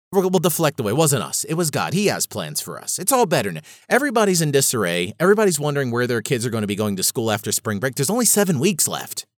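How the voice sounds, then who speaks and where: Talking at a very fast pace, a man with a fairly high pitch and vocal fry makes very wide pitch swings in a passionate tone. The sound is dry and close with no echo, on a very clean recording with a silent background. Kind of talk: angry rant. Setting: solo podcast recording. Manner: fired up, indignant, emphatic; rambling, passionate, frustrated.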